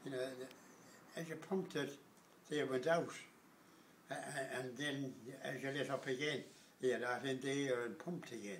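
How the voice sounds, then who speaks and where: Speaking in a Galway accent, a man talks at a moderate pace with a fairly high pitch. His intonation is fairly even, and background noise is noticeable. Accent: Irish, Galway. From Galway, Ireland. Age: 80s+. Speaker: blacksmith. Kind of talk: interview answer.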